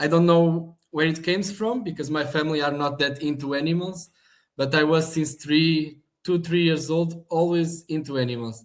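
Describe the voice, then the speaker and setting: Speaking at a moderate pace, a man with a Portuguese accent has a fairly high pitch. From Portugal, Algarve (Portimão). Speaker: animal shelter manager. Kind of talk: interview.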